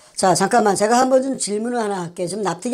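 Ordinary pitch variation in a woman's dark, mellow tone. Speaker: co-host. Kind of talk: political commentary. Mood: indignant, accusatory. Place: studio.

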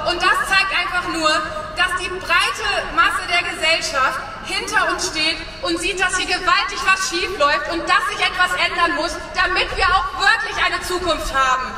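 A woman's raised, projected voice at an extremely high pitch, moderate in pace with ordinary pitch variation, audible room echo and light background noise. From Germany. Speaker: rural youth association chair; speaker. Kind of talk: rally speech. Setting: outdoor rally stage. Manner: loud. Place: street.

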